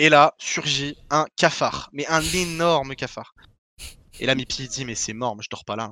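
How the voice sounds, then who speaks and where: A man with a fairly high pitch and a bright, sharp tone speaks at a fairly slow pace, using ordinary pitch variation. His loudness swings a lot, and the sound is dry and close with no echo. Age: 20s. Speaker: esports pro player. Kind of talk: podcast interview.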